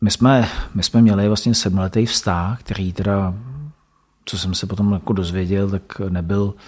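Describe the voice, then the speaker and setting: This man speaks with a fairly low pitch and fairly even intonation. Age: 40s. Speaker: school principal. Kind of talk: interview, personal story. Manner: hesitant, many fillers.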